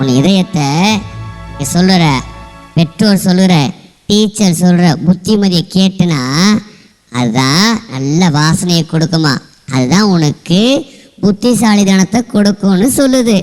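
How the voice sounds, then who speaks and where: Putting on a character voice, a man with a high pitch speaks at a fairly slow pace. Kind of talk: church skit, Bible-verse teaching. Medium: stage.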